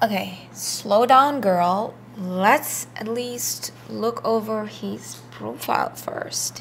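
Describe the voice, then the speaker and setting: Over light background noise, a woman talks at a very slow pace with big swings in loudness. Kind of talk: scripted dialogue. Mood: amused, teasing. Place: kitchen.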